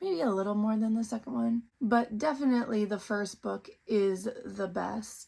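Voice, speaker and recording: A woman's lively intonation rides on a fairly high, somewhat breathy voice as she talks at a moderate pace. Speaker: book reviewer. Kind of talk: casual book review vlog.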